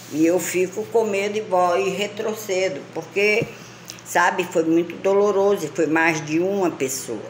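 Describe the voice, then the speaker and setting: A woman's medium-pitched voice at a fairly slow pace with ordinary pitch variation, amid noticeable background noise and audible room echo. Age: 60s. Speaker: lifestyle vlogger. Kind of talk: casual monologue.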